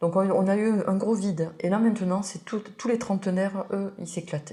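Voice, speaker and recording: Fairly even intonation and a moderate pace from an ordinary speaking voice. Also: woman. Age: 60s. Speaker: winemaker. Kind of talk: interview.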